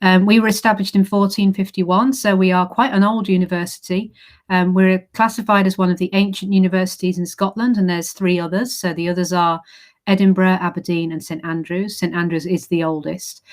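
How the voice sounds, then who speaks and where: Speaking fairly quickly in an English accent, a woman keeps a medium pitch and fairly even intonation in a very clean recording with a silent background. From England. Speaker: university recruitment manager. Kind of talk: presentation. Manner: hesitant fillers.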